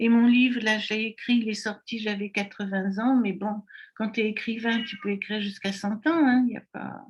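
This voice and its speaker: At a moderate pace, a woman speaks in a fairly high, somewhat breathy voice with fairly even intonation. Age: 80s+. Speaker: online summit organizer and network marketer. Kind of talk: interview.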